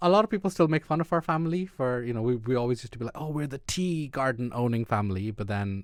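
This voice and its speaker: A man with an Irish accent speaks very fast with hardly any pauses. His pitch is medium and his intonation lively. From Ireland. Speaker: immunologist, podcast co-host. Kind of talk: casual chat. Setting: studio.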